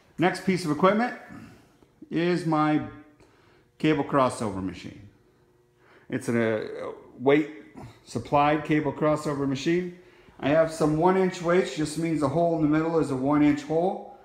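A man speaks at a moderate pace with long, frequent pauses and ordinary pitch variation. Room echo is audible over a quiet background. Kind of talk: casual vlog chat. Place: gym. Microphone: phone near.

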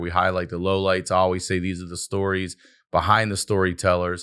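The speaker has a Baltimore accent and talks at a fairly quick pace. The background is quiet. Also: man. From Maryland. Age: 50s. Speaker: podcast host and comedian. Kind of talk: promotional announcement; casual chat. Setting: studio. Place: studio. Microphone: studio mic.

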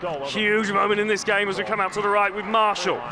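A man speaks in a raised, projected voice, high-pitched for a man and excited in tone. Noticeable background noise runs under him. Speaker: rugby league match commentator. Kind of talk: sports commentary. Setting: stadium match commentary, over live play. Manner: excited, rising energy at tries.

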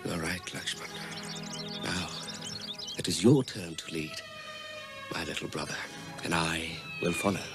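Over clear background music, a man does a put-on character voice, low-pitched with vocal fry and big pitch swings, at a fairly slow pace with long, frequent pauses.

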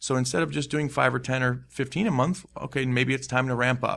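Vocal fry in a man's voice, captured in a very clean recording with a silent background. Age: 30s. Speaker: real estate investment company owner. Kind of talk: interview.

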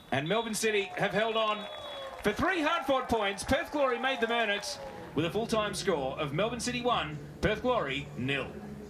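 A high-pitched man's voice in an Australian accent, with very wide pitch swings and crowd noise in the background. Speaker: football play-by-play commentator. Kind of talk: live play-by-play football match commentary. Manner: rapid-fire breathless narration, rising with excitement at chances; punchy clipped calls of player names and passes.

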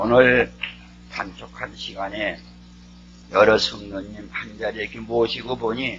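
Over light background noise, a man speaks at a very slow pace with long, frequent pauses and big swings in loudness. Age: 80s+. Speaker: pastor. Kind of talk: sermon. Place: church. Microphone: podium.

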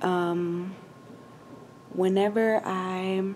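Light background noise sits behind a woman's voice. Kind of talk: casual vlog chat. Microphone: phone near.

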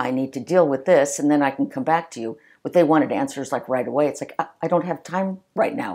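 In an American accent, a woman speaks at a very deep, low pitch and a fairly quick pace with hardly any pauses, her tone dark and mellow, on a very clean recording with a silent background. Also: ordinary pitch variation. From Los Angeles area, California (early childhood Long Island, New York). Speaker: retired police officer. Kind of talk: interview storytelling.

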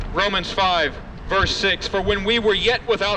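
Light background noise sits under a very slow delivery in a monotone, flat intonation. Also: man. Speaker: street preacher. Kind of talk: open-air street sermon, quoting King James scripture and urging passersby. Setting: outdoors on a university campus. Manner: impassioned, emphatic, repeating refrains like "died for the ungodly"; direct, confrontational address to listeners as "friend". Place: street.

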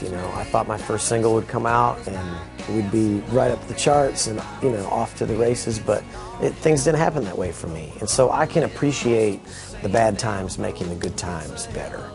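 Clear music plays in the background. A man talks at a moderate pace in a fairly low pitch. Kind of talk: interview answer. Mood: upbeat, reflective. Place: studio.

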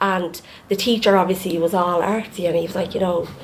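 A woman with an Irish accent speaks very fast over light background noise. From Ireland. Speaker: podcast co-host. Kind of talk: casual chat. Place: home room. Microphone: studio mic.

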